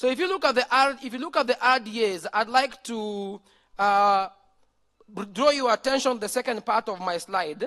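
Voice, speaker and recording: Projecting loudly at an extremely high pitch, a man speaks with a bright, sharp tone and ordinary pitch variation in a dry, close sound with no echo. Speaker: conference presenter. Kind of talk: conference presentation. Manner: fast.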